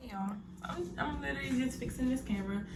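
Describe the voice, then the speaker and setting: A woman with a medium-pitched voice speaks over noticeable background noise, with audible room echo. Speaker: cooking vlogger. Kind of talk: casual cooking tutorial. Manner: halting, stuttering.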